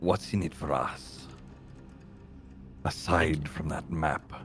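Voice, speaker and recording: Over clear background noise, a man puts on a character voice pitched very deep and low. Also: fairly slow pace. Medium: actual play. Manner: terse, menacing.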